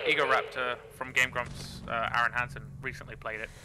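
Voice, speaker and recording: There is noticeable noise behind the speaker. He is a man talking fairly quickly. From England. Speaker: gaming YouTuber. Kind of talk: let's play commentary. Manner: casual, slangy. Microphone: quiet mic, low quality.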